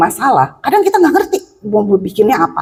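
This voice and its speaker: At a moderate pace, a woman with a high pitch speaks with very wide pitch swings. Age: 60s. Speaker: preacher. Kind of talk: sermon. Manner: animated.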